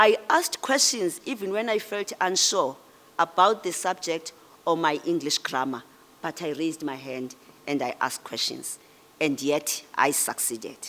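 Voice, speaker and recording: A woman's fairly low voice with a South African accent, lively intonation and a moderate pace. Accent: Xhosa South African English. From South Africa, Eastern Cape. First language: isiXhosa. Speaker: public official and guest speaker. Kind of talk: ceremonial speech.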